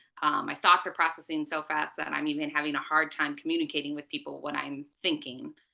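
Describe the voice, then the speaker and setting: A woman at a very fast pace with hardly any pauses, over a quiet background. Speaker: interview guest sharing mental health story. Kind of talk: interview testimony. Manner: frequent filler ums.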